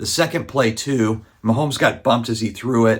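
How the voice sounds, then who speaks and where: A man whispers quietly. His pace is fairly quick. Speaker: sports card content creator. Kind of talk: casual commentary. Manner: quiet, near whispering.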